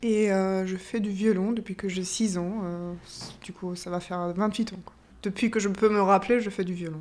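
A woman is speaking at a moderate pace. Her intonation is monotone and flat. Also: medium pitch for a woman, big swings in loudness. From Austria. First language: German (speaking French). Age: 30s. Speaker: orchestra violinist. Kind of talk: interview testimony. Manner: hesitant, with fillers and repetitions.

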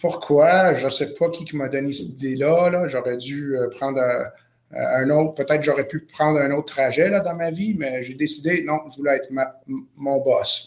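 A man with a non-native accent, fairly high pitch and fairly even intonation at a moderate pace. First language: not French (speaking French). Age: 30s. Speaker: chef and entrepreneur. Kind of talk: interview. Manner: halting.

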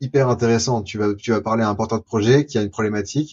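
A man is speaking. His pitch is medium. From France, Lyon. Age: 20s. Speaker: future-of-work explorer and documentary maker. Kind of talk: interview. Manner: animated.

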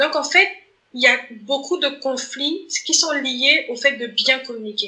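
A woman's high, raised, projected voice at a very slow pace, with ordinary pitch variation. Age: 30s. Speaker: author and community manager. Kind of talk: interview conversation. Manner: hesitant, many repetitions.

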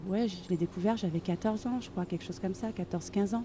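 A woman's somewhat breathy voice, dark and mellow in tone, at a medium pitch with ordinary pitch variation. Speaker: author and education inspector. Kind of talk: interview. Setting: outdoors. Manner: halting with many fillers.

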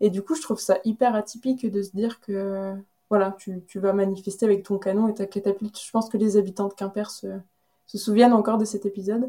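Speaking at a fairly quick pace, a woman with a medium pitch keeps a monotone, flat intonation. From Brittany, central (Carhaix). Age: 30s. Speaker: association co-founder. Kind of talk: interview. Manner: hesitant, frequent fillers.

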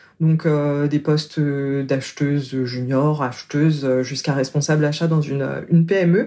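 At a fairly slow pace, a woman speaks with a very deep, low pitch, a dark, mellow tone, fairly even intonation and very even loudness. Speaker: coach. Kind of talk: interview. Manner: smiling voice.

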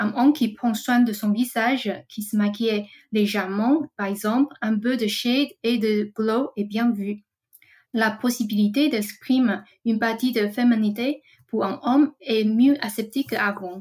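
A woman speaks fairly slowly in a somewhat breathy voice. Her pitch is fairly high and her intonation fairly even. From Taiwan. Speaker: trend researcher. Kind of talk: scripted segment. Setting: recording at home.

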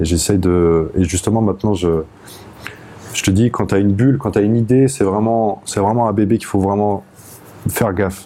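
A man's fairly low voice at a fairly quick pace, with ordinary pitch variation and long, frequent pauses. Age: 30s. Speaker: jazz saxophonist. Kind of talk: casual interview. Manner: halting.

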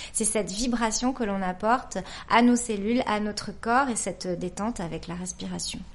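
A normal speaking voice at a moderate pace. Its intonation stays fairly even. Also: woman, fairly high pitch for a woman. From French Basque Country. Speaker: crystal healer and make-up artist. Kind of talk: interview.

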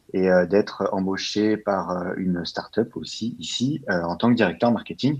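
This man has a very deep, low pitch. He speaks at a fairly slow pace. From France, Val-d'Oise near Paris. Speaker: growth marketing specialist. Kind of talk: interview. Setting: remote recording from home. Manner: hesitant, many fillers.

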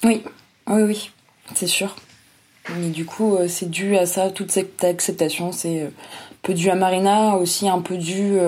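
Here a woman's medium-pitched voice has a dark, mellow tone and monotone, flat intonation. Her pace is very slow, with long, frequent pauses. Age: 20s. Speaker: young family caregiver. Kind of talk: testimony.

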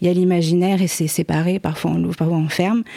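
On a very clean recording with a silent background, a woman speaks in a dark, mellow tone at a fairly low pitch with monotone, flat intonation. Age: 20s. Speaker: guest with bipolar disorder. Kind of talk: casual chat.

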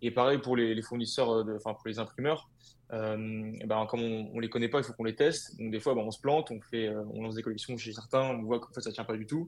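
Moderately paced, a man speaks at a medium pitch. His intonation stays fairly even. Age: 20s. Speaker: clothing brand co-founder. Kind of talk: interview. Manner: halting, many fillers and repetitions.

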